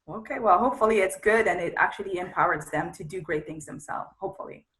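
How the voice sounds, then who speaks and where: A woman speaks very fast in a French accent, her pitch medium and its variation ordinary. Her loudness swings widely. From Congo, Central Africa. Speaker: media entrepreneur. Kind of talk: interview.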